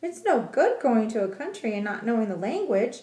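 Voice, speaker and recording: A woman's put-on character voice at a fairly high pitch and a moderate pace. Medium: read story. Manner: grand, sing-song.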